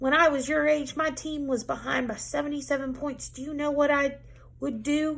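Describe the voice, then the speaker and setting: Putting on a gruff character voice, a woman speaks high-pitched at a moderate pace with monotone, flat intonation. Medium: read story. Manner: barking, gruff.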